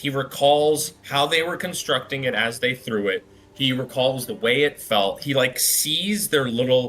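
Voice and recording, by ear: The pitch moves in ordinary ways as someone reads aloud in a natural voice.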